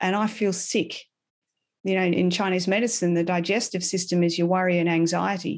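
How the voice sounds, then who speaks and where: Against a quiet background, the speaker uses monotone, flat intonation at a moderate pace, with an Australian accent. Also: woman, medium pitch for a woman, very even loudness. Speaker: animal communicator and holistic animal health coach. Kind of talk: casual interview. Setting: remote call from abroad.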